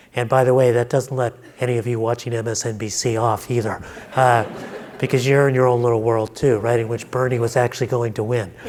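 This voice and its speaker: Over noticeable background noise, a man with a medium pitch talks at a very fast pace in a flat, monotone delivery. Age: 60s. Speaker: panelist. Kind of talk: panel discussion.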